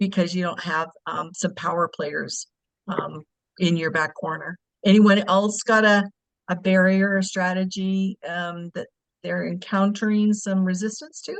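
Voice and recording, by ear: Speaking at a fairly slow pace, a woman uses a fairly low pitch with vocal fry and little pitch movement.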